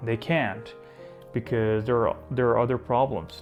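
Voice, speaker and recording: Music plays behind a man who speaks at a medium pitch and a moderate pace in an Iranian accent. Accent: Iranian (Persian). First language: Persian. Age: 20s. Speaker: vlogger. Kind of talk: casual talk to camera.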